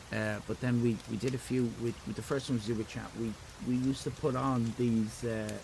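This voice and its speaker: This man talks with an Irish accent. His pitch is medium and his pace moderate. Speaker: streamer; parent.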